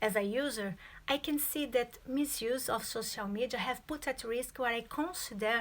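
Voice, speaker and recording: A woman speaks with a Brazilian accent at a fairly high pitch. Her pace is fairly slow. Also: very clean recording, silent background. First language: Portuguese. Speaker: student. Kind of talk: presentation.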